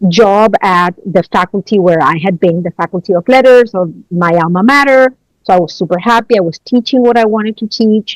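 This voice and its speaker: With a Spanish accent, a woman talks at a fairly quick pace and medium pitch, showing ordinary pitch variation and hardly any pauses, in a dry, close sound with no echo. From Chile. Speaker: college research director. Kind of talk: podcast interview. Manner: hesitant, many fillers.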